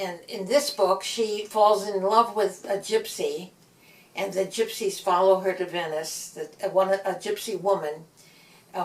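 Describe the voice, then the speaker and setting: Over noticeable background noise, a woman speaks with a Midwestern US accent. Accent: US Midwest. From US Midwest, Gary, Indiana. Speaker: author. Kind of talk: interview. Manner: halting.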